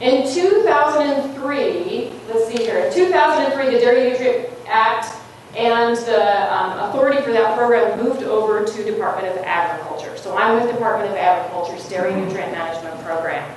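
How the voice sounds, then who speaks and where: A woman's fairly high voice at a fairly quick pace, lively intonation, audible room echo, and noticeable background noise. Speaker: state agriculture compliance specialist. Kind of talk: presentation at a training session. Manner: gets louder and animated as she goes.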